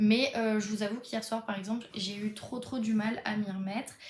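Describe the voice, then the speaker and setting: The speech comes at a fairly quick pace with monotone, flat intonation over noticeable background noise. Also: woman. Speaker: book vlogger. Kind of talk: casual vlog. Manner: hesitant, many fillers.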